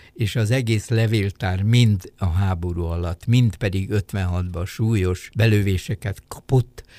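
Speaking at a very slow pace, a man with a dark, mellow, somewhat breathy tone keeps his intonation fairly even. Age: 80s+. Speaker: sinologist and retired diplomat. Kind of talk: interview. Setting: studio.

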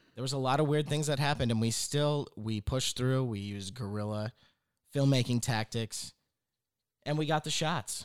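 An ordinary speaking voice from a man, dry and close with no echo, at a moderate pace with ordinary pitch variation. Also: medium pitch for a man. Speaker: podcast host. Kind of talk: comedic banter, sketch-style podcast.

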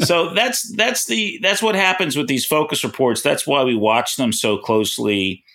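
At a moderate pace and with hardly any pauses, a man speaks at a fairly high pitch with very wide pitch swings, vocal fry and very even loudness. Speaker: financial news journalist. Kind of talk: casual chat.

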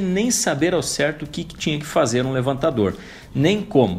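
A calm tone comes with lively intonation at a moderate pace. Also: man. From southern Brazil, interior of Santa Catarina (Mafra). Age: 40s. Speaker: podcast host, career coach. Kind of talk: motivational podcast monologue. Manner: calm, direct address to listener.

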